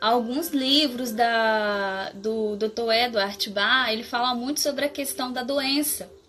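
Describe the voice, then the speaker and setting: Her tone is bright and sharp, and a woman speaks at a high pitch with ordinary pitch variation. She goes at a very slow pace yet hardly pauses. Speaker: floral therapy practitioner. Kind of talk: live stream talk.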